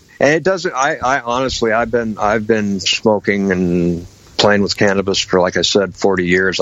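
An ordinary speaking voice with an American accent moves at a moderate pace with hardly any pauses, very even loudness and ordinary pitch variation. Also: man. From Washington state, US Pacific Northwest. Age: 50s. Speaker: patient with MS and lung cancer. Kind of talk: interview.

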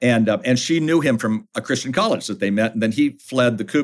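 At a fairly quick pace and medium pitch, a man speaks in a normal speaking voice with lively intonation. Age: 60s. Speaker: author and family ministry leader. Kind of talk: casual chat. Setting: studio.

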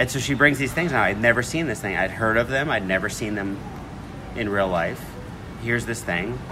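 With music in the background and audible room echo, a man speaks in an American accent at a fairly low pitch with ordinary pitch variation. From New York. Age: 40s. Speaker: chef. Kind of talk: interview.

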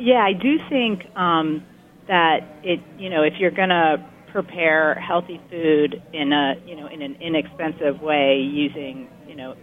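Against noticeable background noise, a woman speaks with a very deep, low pitch. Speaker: research center director. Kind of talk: expert interview discussion.

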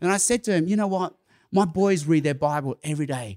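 On a very clean recording with a silent background, a man speaks with an Australian accent. His pitch is high and his intonation lively. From Australia (Sydney). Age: 50s. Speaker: evangelist. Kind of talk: conference talk. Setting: stage with audience.

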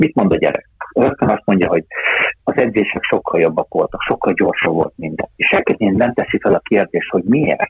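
Keeping very even loudness, a man talks at a fairly quick pace. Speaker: football sporting director. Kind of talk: interview.

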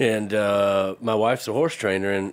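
The speaker is a man with a Southern US accent. His pitch is fairly low. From US South (Georgia). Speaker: heritage pig farmer. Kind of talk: casual chat.

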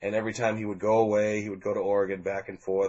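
A man talks at a fairly quick pace with a fairly low pitch. He has a plain, everyday voice. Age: 40s. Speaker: music fan telling his story. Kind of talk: casual interview.

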